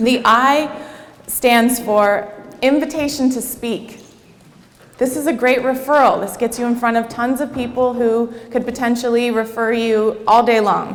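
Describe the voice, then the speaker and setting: Through noticeable background noise and audible room echo, a woman speaks fairly slowly at a high pitch in a monotone, flat intonation. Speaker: networking and marketing coach. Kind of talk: workshop presentation to a live audience.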